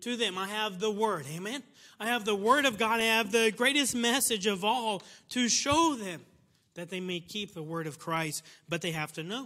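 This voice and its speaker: A man's raised, projected voice sounds bright and sharp, high in pitch, with lively intonation at a moderate pace. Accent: American. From United States. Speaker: missionary preacher. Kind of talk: sermon. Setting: church. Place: church. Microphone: lapel.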